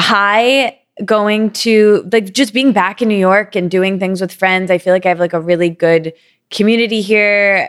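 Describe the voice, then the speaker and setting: Speaking at a fairly slow pace with an American accent, a woman has a medium pitch, very even loudness, fairly even intonation and an ordinary speaking voice. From Michigan, US. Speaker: podcast co-host. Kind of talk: casual chat.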